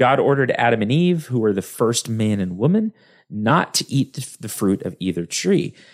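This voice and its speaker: Very wide pitch swings in a medium-pitched male voice, the recording very clean and the background silent. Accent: slight West Texas. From West Texas. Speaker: podcast host. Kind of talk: solo educational podcast monologue. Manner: talkative, casual with fillers.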